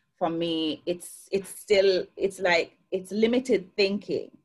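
In a Jamaican accent, a woman speaks at a fairly slow pace with ordinary pitch variation. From Jamaica, Clarendon parish. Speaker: success coach. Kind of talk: interview. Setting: video call. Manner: lively.

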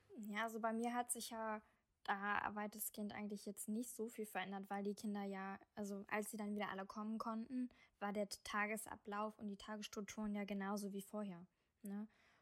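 In monotone, flat intonation, a woman talks at a moderate pace and a medium pitch. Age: 20s. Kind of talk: casual interview.

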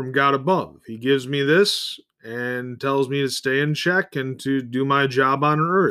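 Hardly pausing, a man talks at a fairly slow pace, his fairly high, bright, sharp voice showing ordinary pitch variation. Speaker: podcast host. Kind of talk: solo monologue. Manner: short bursts with pauses.

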